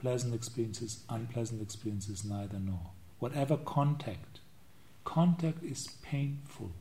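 A somewhat breathy man at medium pitch, dark and mellow in tone, speaking at a fairly slow pace. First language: not English. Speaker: Buddhist monk and meditation teacher. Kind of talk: dharma talk. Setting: meditation retreat.

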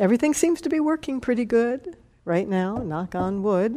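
Dark and mellow in tone, a woman's voice swings very widely in pitch. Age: 60s. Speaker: meditation teacher. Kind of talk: dharma talk.

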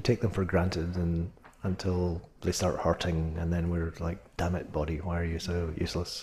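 A man's very deep, low voice, dark and mellow, somewhat breathy, at a fairly quick pace. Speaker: meditation teacher. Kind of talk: guided meditation. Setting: retreat or meditation hall, addressing a group. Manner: casual, conversational, lightly humorous in the introduction.

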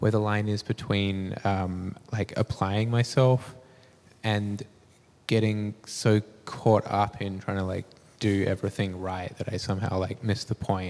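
A man with an Australian accent, fairly low pitch, monotone, flat intonation, and a fairly slow pace. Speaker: audience member. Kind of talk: question from audience. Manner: halting.

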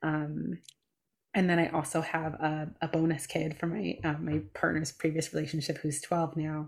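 Monotone and flat, a woman with a very deep, low voice and vocal fry speaks at a moderate pace. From US Midwest, Chicago. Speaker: meditation teacher and author. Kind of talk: casual chat.

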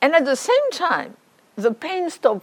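A woman talks at a moderate pace, her pitch making very wide swings. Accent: French. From France. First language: French. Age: 60s. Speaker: meditation teacher. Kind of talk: dharma talk.

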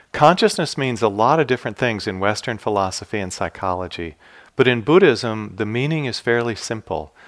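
A man with an ordinary speaking voice, medium pitch, and lively intonation, at a fairly quick pace on a very clean recording with a silent background. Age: 60s. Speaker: meditation teacher. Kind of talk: dharma talk. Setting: meditation hall at retreat.

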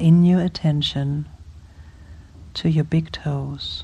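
A woman speaks at a very slow pace. Her tone is dark and mellow and somewhat breathy. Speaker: meditation teacher. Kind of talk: guided meditation. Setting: retreat hall with group. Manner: slow, soothing, gentle; playful, warm.

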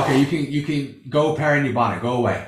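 A somewhat breathy male voice at a moderate pace. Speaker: Buddhist monk. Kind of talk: dharma discussion.

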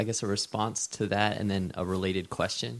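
A man speaks in a fairly low voice. His pace is moderate. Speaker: retreat participant, graduate student. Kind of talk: Q and A question. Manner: halting, many fillers.

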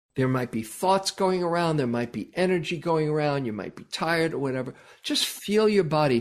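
This man has a plain, everyday voice with fairly high pitch. His intonation is lively. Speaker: meditation teacher. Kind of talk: guided meditation. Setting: online video call with audience. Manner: calm, gentle, slow-paced; encouraging, reassuring.

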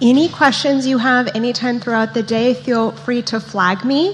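A woman speaks with a normal amount of pitch movement and an even, moderate tempo while clear background noise carries on. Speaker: event manager. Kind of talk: welcome announcements. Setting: meditation center hall with audience.

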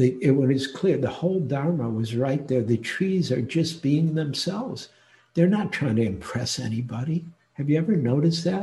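With an American accent, a man talks at a moderate pace in a fairly high, somewhat breathy voice of dark, mellow tone and lively intonation. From US Midwest, Detroit. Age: 70s. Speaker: meditation teacher. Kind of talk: dharma talk. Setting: online retreat talk.

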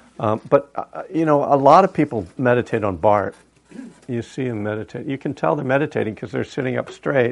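Lively in intonation and touched with vocal fry, a man speaks at a fairly quick pace. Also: medium pitch for a man. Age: old. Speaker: meditation teacher. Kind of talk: dharma talk. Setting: meditation hall with audience. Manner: casual and joking.

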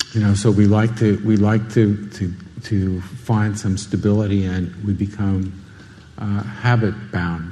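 Somewhat breathy and fairly low in pitch, a man speaks in a monotone, flat intonation at a fairly slow pace. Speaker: meditation teacher. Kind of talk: dharma talk. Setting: meditation hall with group.

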